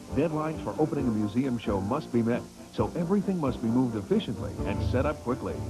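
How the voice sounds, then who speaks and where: The speech moves at a fairly quick pace with very wide pitch swings. Music plays in the background. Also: man. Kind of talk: TV promo announcer read.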